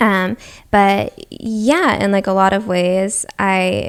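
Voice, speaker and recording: A woman with an American accent, medium pitch and an animated tone. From Massachusetts, US (Newton near Boston). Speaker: actress and singer. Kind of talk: casual podcast interview. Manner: animated, frequent fillers like 'like'.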